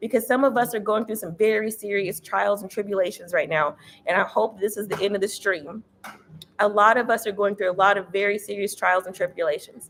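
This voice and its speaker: A woman with an American accent, medium in pitch, animated in tone, at a fairly quick pace. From Texas. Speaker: tarot reader. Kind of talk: live-streamed tarot reading. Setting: livestream on YouTube and Instagram. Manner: fast.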